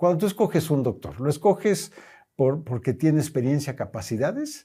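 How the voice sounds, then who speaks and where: A man with a dark, mellow tone and vocal fry talks at a fairly high pitch, his voice swinging very widely in pitch over a very clean recording with a silent background. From Mexico. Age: 70s. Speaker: company president. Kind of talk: interview.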